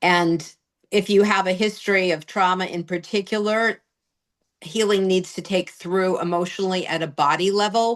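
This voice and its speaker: A woman with an American accent at a fairly slow pace, against a quiet background. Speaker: singer-songwriter and therapist. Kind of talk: interview answer.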